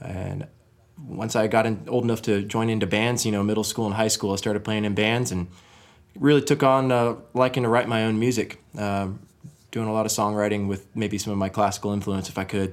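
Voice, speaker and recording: With a plain, everyday voice, a man talks at a fairly quick pace, fairly low in pitch and with fairly even intonation. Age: young. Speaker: musician. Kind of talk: casual chat.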